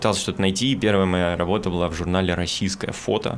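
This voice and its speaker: Fairly quick delivery in an unremarkable speaking voice. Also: man. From Moscow, Russia. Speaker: documentary cameraman and journalist. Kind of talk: casual chat.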